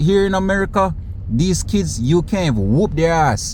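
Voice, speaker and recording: Over noticeable background noise, a man talks at a moderate pace in an animated tone with lively intonation. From Caribbean. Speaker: commentary youtuber. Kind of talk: casual commentary vlog.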